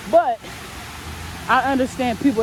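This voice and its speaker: A woman with ordinary pitch variation amid noticeable background noise. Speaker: vlogger. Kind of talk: casual vlog monologue. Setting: outdoors on a park walk. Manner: loud.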